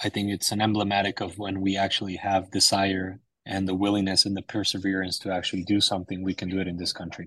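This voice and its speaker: A man speaks at a very fast pace with a fairly low pitch. His intonation stays monotone and flat. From Mexico (Sonora). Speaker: startup founder. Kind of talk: interview.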